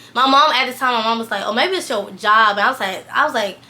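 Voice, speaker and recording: Noticeable background noise sits behind a woman's voice. She has a high pitch and ordinary pitch variation. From US South, Valdosta, Georgia. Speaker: fashion stylist and vlogger. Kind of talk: personal testimony. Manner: fast, rambling with fillers.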